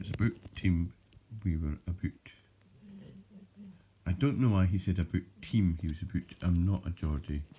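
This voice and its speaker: This man has a very deep, low pitch and a dark, mellow tone, somewhat breathy, with ordinary pitch variation. He talks at a moderate pace, leaving long, frequent pauses. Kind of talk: casual talk to camera.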